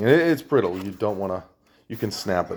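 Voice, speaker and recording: In a New England accent, a man talks at a fairly low pitch. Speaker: electronics scrapper, video maker. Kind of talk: hands-on tutorial. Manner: casual, halting with restarts.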